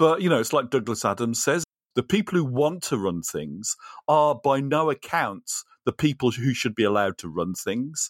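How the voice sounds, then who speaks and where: Vocal fry marks a man's medium-pitched voice, which moves in very wide pitch swings, recorded dry and close with no echo, in a very clean recording with a silent background. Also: moderate pace. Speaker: co-host, learning designer. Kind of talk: casual chat, podcast conversation.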